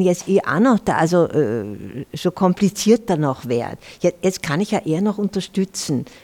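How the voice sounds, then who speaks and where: A woman speaks at a moderate pace with a fairly low pitch and a dark, mellow tone. The sound is dry and close with no echo, on a very clean recording with a silent background. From Germany. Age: 70s. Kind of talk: panel talk with live audience. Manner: halting.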